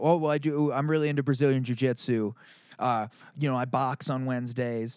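A man with an unremarkable speaking voice, a medium pitch, fairly even intonation, and a fairly quick pace, on a very clean recording with a silent background. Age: 30s. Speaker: lead singer and songwriter in a band. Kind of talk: casual chat. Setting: in person.

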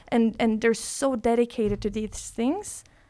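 The voice has a dark, mellow tone. It carries a Norwegian accent. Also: woman. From Norway. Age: 20s. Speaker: breathwork teacher. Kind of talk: casual chat.

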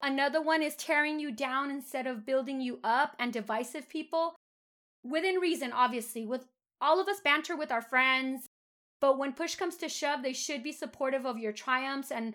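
Over a silent background on a very clean recording, a woman with a high pitch and a bright, sharp tone speaks at a moderate pace with ordinary pitch variation. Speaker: podcast host and therapist. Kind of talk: casual conversational podcast discussion with faith themes.

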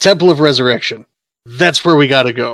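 Using a put-on character voice, a man speaks at a fairly quick pace in a medium pitch. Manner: sad, tragic.

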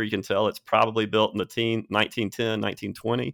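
A man speaks in a medium pitch. His pace is fairly quick. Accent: Alabama. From Alabama, Birmingham. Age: 40s. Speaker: podcast host at a university real estate center. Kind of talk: casual interview. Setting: studio.

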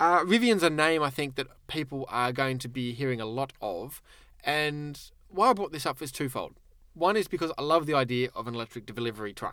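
In an Australian accent, a man talks at a fairly quick pace, his fairly high pitch, bright, sharp tone, and lively intonation standing out. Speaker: car magazine editor. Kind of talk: casual chat. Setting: studio. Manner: jokey, playful.

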